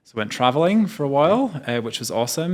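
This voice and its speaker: A man speaks at a very fast pace with a British accent. The recording is very clean, its background silent. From United Kingdom. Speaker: tourism executive. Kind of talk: interview. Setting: travel trade event in Las Vegas. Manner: hesitant, many fillers.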